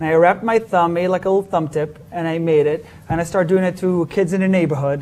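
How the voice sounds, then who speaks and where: A man with an Israeli accent speaks at a very fast pace in a high pitch. Noticeable background noise runs underneath. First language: Hebrew. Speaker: magician. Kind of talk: interview. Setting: live-streamed show. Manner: hesitant with fillers.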